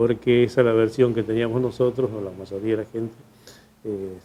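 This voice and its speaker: A man with a dark, mellow tone speaks fairly quickly at a medium pitch in a flat monotone. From Argentina, Trenque Lauquen (Buenos Aires province). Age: 70s. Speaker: local resident recounting history. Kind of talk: testimony. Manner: halting, with fillers.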